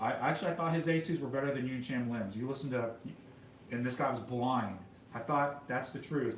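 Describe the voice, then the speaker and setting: Speaking at a fairly quick pace with an American accent, a man uses a medium pitch and ordinary pitch variation, with noticeable background noise and audible room echo. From Texas. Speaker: pianist and composer livestreamer. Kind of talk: casual livestream monologue. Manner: halting, many repetitions and fillers.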